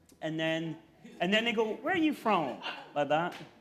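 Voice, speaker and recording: Over noticeable background noise, a man with a Scottish accent talks at a fairly quick pace in a high voice. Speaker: investigative reporter. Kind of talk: comedic interview.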